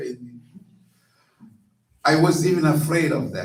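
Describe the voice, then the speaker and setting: A man's fairly high voice with ordinary pitch variation, music in the background. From Brazil, Rio de Janeiro. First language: Portuguese. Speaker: minister. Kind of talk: sermon. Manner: halting.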